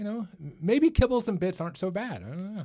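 A man speaks at a fairly quick pace. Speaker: podcast host. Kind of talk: casual podcast chat.

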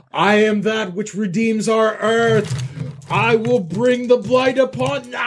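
Putting on a character voice, a man speaks at a high pitch and fairly slow pace over clear background noise. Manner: crying out, declamatory.

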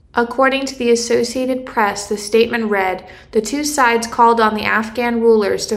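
Noticeable background noise sits behind a woman who speaks fairly quickly in a fairly high, monotone, flat voice. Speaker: political affairs correspondent. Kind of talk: news report. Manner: measured, formal reporting.

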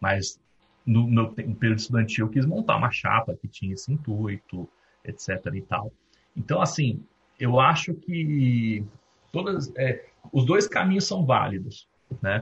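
A man's somewhat breathy voice, fairly slow, with very wide pitch swings and long, frequent pauses. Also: medium pitch for a man. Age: 30s. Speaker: recruiter and company founder. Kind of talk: guest talk at university event.

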